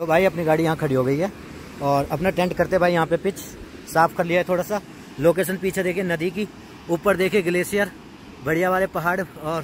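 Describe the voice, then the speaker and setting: A man with a high pitch speaks at a moderate pace with long, frequent pauses and fairly even intonation, in a dry sound with no echo and light background noise. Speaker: camping vlogger. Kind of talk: casual vlog chat. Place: waterside.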